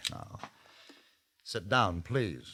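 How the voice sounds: A man's put-on character voice, fairly low in pitch, with a bright, sharp tone, lively intonation and a very slow pace.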